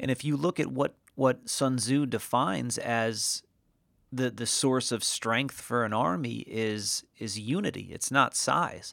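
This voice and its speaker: An unremarkable speaking voice with an American accent moves at a fairly slow pace in a very clean recording with a silent background. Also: man, medium pitch for a man, ordinary pitch variation. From New England, Connecticut. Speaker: podcast host, digital strategist. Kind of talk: solo podcast monologue. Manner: casual, with frequent fillers and repetitions.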